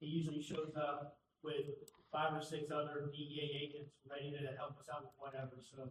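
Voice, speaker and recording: The man's voice sits at a fairly high pitch and sounds somewhat breathy. His intonation is monotone and flat. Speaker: police official presenting budget. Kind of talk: budget presentation to city council. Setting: council meeting in auditorium. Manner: fast.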